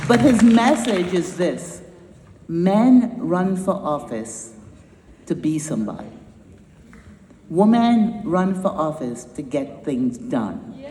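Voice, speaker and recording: With a slight Trinidadian accent, a woman of medium pitch speaks at a very slow pace with very wide pitch swings and long, frequent pauses, over noticeable background noise. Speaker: nonprofit founder and climate educator. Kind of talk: conference speech. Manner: animated.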